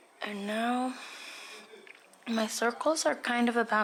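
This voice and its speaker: A woman with a fairly high voice speaks over noticeable background noise. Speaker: painting tutorial host. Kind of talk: painting tutorial talk. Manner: soft-spoken.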